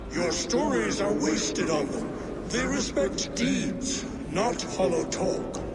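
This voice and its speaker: A put-on character voice moves at a fairly slow pace through loud background noise. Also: man. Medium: machinima. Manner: commanding, proud.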